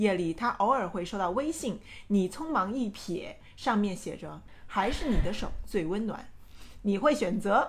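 In a Hunan accent, the speaker sounds animated and somewhat breathy, with lively intonation and audible room echo. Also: woman, medium pitch for a woman, fairly slow pace. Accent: Hunan-accented Mandarin. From Changsha, Hunan, China. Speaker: podcast co-host. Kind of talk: reading aloud.

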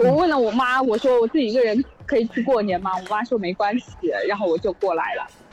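Music plays in the background. A woman speaks with a fairly high pitch and lively intonation. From Zhejiang, Zhoushan. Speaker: caller. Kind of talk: casual chat.

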